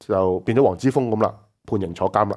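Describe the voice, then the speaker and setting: Fairly quick male speech over a quiet background. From Hong Kong. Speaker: political talk show host. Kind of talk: political commentary chat. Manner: animated, frequent laughter. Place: studio.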